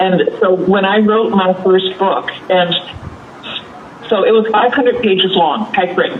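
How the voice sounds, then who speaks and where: A woman's medium-pitched voice at a moderate pace, with ordinary pitch variation, noticeable background noise and audible room echo. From Canada. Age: 70s. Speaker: children's author. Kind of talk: interview.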